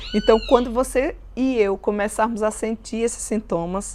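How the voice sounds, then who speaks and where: Noticeable background noise runs under this clip. A woman speaks at a fairly slow pace. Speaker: Bible teacher. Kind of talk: Bible study teaching.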